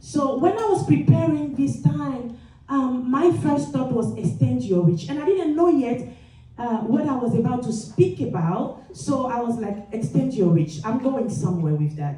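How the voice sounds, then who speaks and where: A woman's medium-pitched voice with very wide pitch swings at a fairly slow pace, amid audible room echo and noticeable background noise. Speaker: motivational speaker, nurse executive. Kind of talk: motivational speech. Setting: stage with audience. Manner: energetic.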